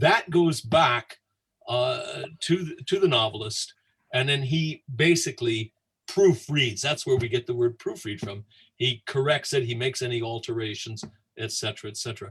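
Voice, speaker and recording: A man with an American accent speaks at a moderate pace in a medium pitch, his intonation lively. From United States. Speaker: Dickens scholar. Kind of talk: anecdote on livestream tour. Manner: halting, with many fillers.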